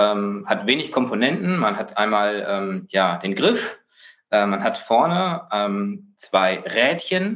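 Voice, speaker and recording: A man is speaking. His pitch swings very widely. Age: 30s. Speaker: biologist, research scientist. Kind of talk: interview. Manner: hesitant, many filler sounds.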